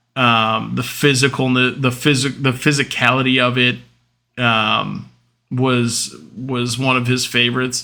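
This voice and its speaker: Loud and bright with a sharp tone, a man talks at a very slow pace in a monotone, flat delivery. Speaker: podcast host. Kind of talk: casual monologue.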